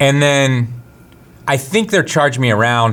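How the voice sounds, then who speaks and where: Music plays in the background while a man speaks at a medium pitch with ordinary pitch variation. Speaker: photography show co-host. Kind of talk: casual chat. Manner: loud; animated.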